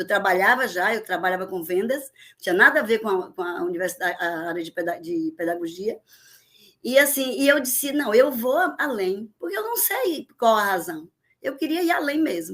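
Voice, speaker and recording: A woman with a Bahian accent speaks at a moderate pace in a bright, sharp tone. Her pitch swings very widely and her loudness rises and falls sharply. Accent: Bahian Brazilian Portuguese. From Bahia, Brazil (Vitória da Conquista, then Salvador). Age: 60s. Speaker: teacher. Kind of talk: podcast interview.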